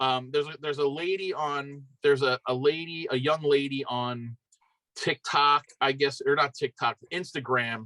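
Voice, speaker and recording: In a Philadelphia accent, a man with a fairly high, bright and sharp voice speaks at a moderate pace, the sound dry and close with no echo. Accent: Philly. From Philadelphia area, Pennsylvania. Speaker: BMX rider. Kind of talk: casual chat.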